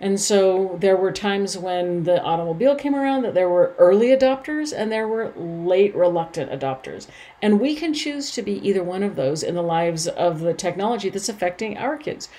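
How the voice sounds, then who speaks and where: In a normal speaking voice, the speaker moves at a fairly quick pace with lively intonation and hardly any pauses. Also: woman, medium pitch for a woman. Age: 50s. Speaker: personal development podcast host. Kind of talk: solo podcast monologue.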